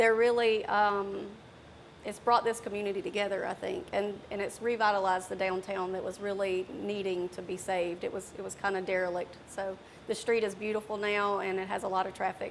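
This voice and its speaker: Speaking fairly quickly in a monotone, flat intonation, a woman with a medium pitch is heard over noticeable background noise. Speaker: bar owner and therapist. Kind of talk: TV interview.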